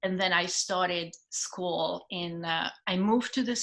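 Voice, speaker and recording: A woman with a Hungarian accent at a fairly slow pace. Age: 50s. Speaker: stage actress. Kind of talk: casual interview chat.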